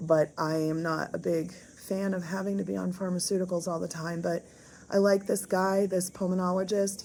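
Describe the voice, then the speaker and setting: A woman with a dark, mellow tone and a fairly low pitch speaks at a moderate pace in a monotone, flat delivery. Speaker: health vlogger. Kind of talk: video diary. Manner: hesitant, many fillers.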